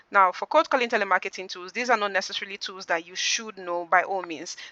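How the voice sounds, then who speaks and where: A woman speaks at a medium pitch with ordinary pitch variation and a bright, sharp tone. The sound is dry and close with no echo, over a quiet background. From Nigeria. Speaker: customer service trainer. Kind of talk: online training session. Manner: fast.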